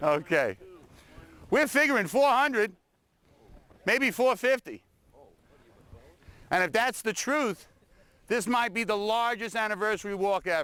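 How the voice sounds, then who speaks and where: With a Brooklyn accent, a man in a raised, projected, high-pitched voice of bright, sharp tone speaks at a moderate pace with ordinary pitch variation and long, frequent pauses. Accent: New York Brooklyn. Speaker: battlefield tour guide. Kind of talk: addressing a crowd on a walk.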